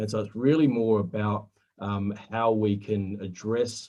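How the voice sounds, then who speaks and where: With an Australian accent, a man speaks fairly slowly in a dark, mellow voice pitched fairly low. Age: 40s. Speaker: superannuation compliance presenter. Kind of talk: webinar presentation. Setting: online webinar. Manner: halting, many fillers.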